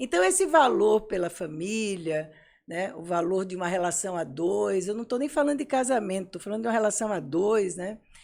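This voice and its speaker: A woman's normal speaking voice at medium pitch, lively in intonation and moderate in pace, on a very clean recording with a silent background. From Brazil, Pernambuco (Recife). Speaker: psychologist and psychoanalyst. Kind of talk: interview conversation.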